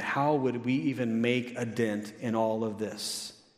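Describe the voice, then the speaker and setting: The man speaks with ordinary pitch variation, and audible room echo hangs on his words. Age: 50s. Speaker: pastor. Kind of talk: sermon.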